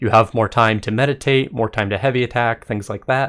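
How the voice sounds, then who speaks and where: This man has an unremarkable speaking voice at medium pitch with ordinary pitch variation. The recording is very clean, with a silent background. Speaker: gaming content creator. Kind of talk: video game commentary.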